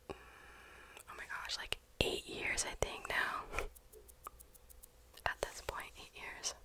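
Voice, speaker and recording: A very slow whisper, broken by long and frequent pauses, against clearly audible background noise. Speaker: ASMR artist. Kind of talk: ASMR casual ramble. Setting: close binaural microphone. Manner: whispered.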